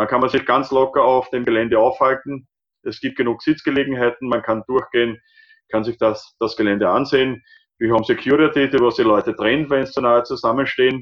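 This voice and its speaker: In a medium-pitched voice, a man talks at a fairly quick pace with monotone, flat intonation. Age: 50s. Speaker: obstacle race organizer. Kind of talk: podcast interview.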